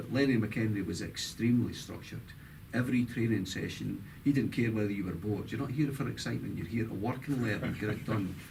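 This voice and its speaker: With audible room echo, a man talks at a very fast pace and medium pitch, showing vocal fry and ordinary pitch variation. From Scotland, Dundee. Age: 60s. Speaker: former football player and coach. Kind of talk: interview.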